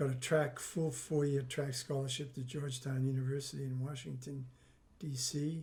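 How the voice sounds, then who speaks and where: A man talks at a moderate pace and fairly high pitch, somewhat breathy, with a dark, mellow tone and monotone, flat intonation. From Maine. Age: 70s. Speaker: documentary subject, retired runner. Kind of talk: interview.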